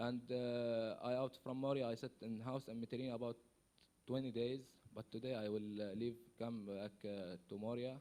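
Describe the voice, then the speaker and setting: In an Arabic accent, a man with a medium-pitched voice and a dark, mellow tone speaks at a moderate pace in a monotone, flat intonation. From Syria, Palestinian refugee. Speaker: refugee. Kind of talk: conference testimony. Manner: halting, hesitant.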